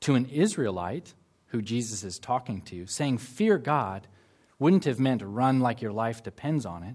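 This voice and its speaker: With an American accent and an unremarkable speaking voice, a man talks at a fairly slow pace and medium pitch, using lively intonation and big swings in loudness on a very clean recording with a silent background. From United States. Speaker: campus ministry worker giving a sermon. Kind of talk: sermon. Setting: church service with congregation.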